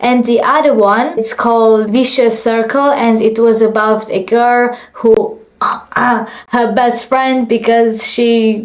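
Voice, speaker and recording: A woman with a fairly high pitch speaks at a very slow pace in a monotone, flat intonation. Room echo is audible. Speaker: vlogger and aspiring actress. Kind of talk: story time vlog.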